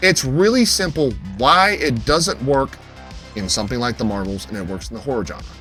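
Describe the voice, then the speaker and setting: With music in the background, a man talks at a moderate pace, his pitch swinging very widely. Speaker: film reviewer / YouTuber. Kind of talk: casual talk to camera, opinion commentary. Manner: emphatic, heated, profane.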